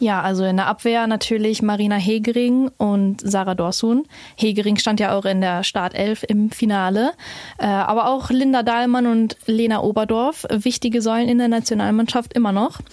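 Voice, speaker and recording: A woman with a plain, everyday voice, fairly high in pitch, speaks at a moderate pace with fairly even intonation and very even loudness. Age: 20s. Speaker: women's football social media creator. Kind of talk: casual chat.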